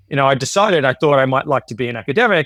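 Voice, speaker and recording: This man speaks at a medium pitch with an Australian accent and lively intonation. The recording is very clean, with a silent background and a dry, close sound with no echo. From Australia, Queensland (Sunshine Coast). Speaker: economics professor. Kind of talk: podcast interview. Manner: casual, with many fillers and repetitions.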